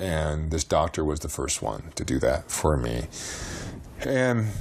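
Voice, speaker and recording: A man's voice with noticeable background noise. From US West (Montana, then Utah). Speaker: former pro basketball player. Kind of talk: interview.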